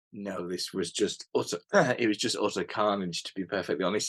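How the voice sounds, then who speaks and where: A man with a British accent speaks at a moderate pace, his pitch fairly low and his intonation fairly even. The sound is dry and close, with no echo. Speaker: hunter. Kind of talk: casual chat. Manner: halting, repeats words.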